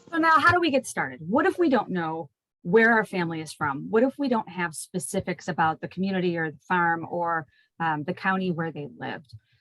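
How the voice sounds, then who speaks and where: A woman with fairly low pitch talks at a fairly quick pace, her intonation lively and her loudness swinging widely. The sound is dry and close, with no echo. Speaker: genealogist and librarian. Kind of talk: lecture. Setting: video call. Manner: fast.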